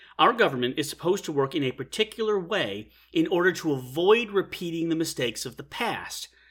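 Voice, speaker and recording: An American-accented man speaks fast-ish with hardly any pauses, his high pitch making very wide swings. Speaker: historian podcaster. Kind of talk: solo history lecture podcast. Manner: wry, humorous.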